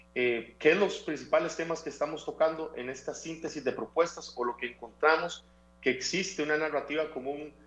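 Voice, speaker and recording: The talking runs at a fairly quick pace with fairly even intonation. Music plays in the background. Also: man, fairly high pitch for a man. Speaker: civic foundation representative. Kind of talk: interview.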